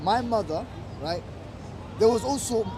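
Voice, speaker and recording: A man with a slight non-native accent speaks in a high voice with ordinary pitch variation over noticeable background noise. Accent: slight foreign. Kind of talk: casual debate. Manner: halting.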